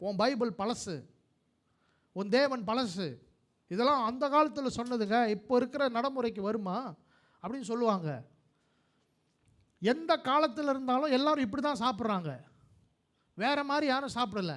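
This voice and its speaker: Extremely high-pitched, a man speaks with ordinary pitch variation. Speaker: pastor. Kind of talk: live church sermon.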